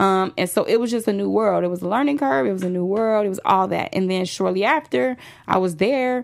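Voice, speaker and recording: With an American accent and lively intonation, a woman speaks at a fairly quick pace in a plain, everyday voice of medium pitch, on a very clean recording with a silent background. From Chicago, south side (Roseland). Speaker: celebrity hairstylist. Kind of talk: interview. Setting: studio.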